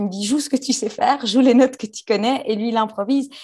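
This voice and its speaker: A woman speaks at a fairly high pitch with ordinary pitch variation. Her tone is dark and mellow. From Belgium. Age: 20s. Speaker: actress and YouTuber. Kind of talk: interview.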